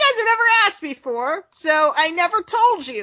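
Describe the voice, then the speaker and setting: A woman puts on a character voice pitched extremely high. Her pitch swings very widely. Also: moderate pace. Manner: atmospheric, setting the mood.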